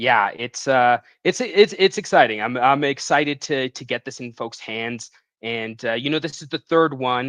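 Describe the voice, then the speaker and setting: With a slight Canadian accent, a man talks at a moderate pace and a medium pitch, with ordinary pitch variation and big swings in loudness. The sound is dry and close with no echo, against a quiet background. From Western Canada, Vancouver area. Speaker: comic book writer. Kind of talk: casual interview. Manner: hesitant, many fillers.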